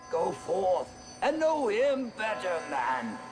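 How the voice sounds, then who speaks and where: A put-on character voice leaps through very wide pitch swings at a very slow pace. Clear background noise sits behind it. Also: man, high pitch for a man. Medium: short film. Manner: hearty, grand.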